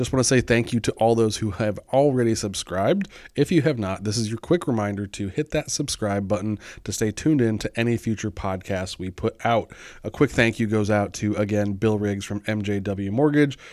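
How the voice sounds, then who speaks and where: In a very clean recording with a silent background, a man with a plain, everyday voice speaks at a fairly quick pace, his pitch fairly low and its variation ordinary. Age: 40s. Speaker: podcast host, real estate agent. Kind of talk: casual interview chat.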